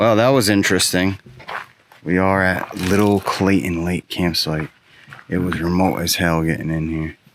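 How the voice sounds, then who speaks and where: Noticeable background noise runs under this recording. A man with a very deep, low voice speaks at a moderate pace. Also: fairly even intonation. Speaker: camping vlogger. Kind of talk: casual vlog narration. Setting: outdoors.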